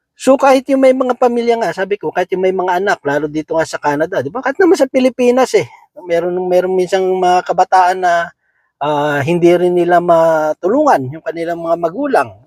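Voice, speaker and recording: A man speaks fairly quickly at a high pitch, with lively intonation. The sound is dry and close with no echo. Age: 40s. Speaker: lay preacher. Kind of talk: Bible devotional talk. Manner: halting, many fillers.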